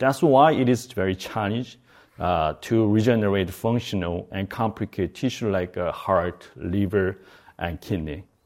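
A man with a Korean accent, fairly low in pitch, at a moderate pace. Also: very clean recording, silent background. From South Korea. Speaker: bioengineering professor and company co-founder. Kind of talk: lecture. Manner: halting.

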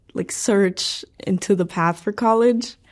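A woman with a Spanish accent speaks at a medium pitch with fairly even intonation. Her recording is very clean, with a silent background. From Mexico (Pachuca, Hidalgo), then California from age 12. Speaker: university student. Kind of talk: interview monologue.

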